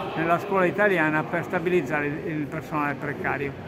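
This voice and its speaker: Loud background noise runs beneath a man's voice. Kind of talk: interview answer. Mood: firm, critical. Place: hall.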